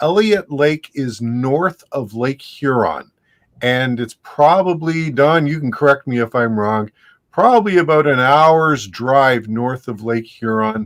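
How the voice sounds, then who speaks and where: A man with an Ontario accent, medium in pitch, at a fairly slow pace with lively intonation, in a dry, close sound with no echo. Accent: Canadian (Ontario). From Canada, Ontario (Hamilton area). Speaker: ham radio YouTuber, livestream co-host. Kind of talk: casual chat on a livestream.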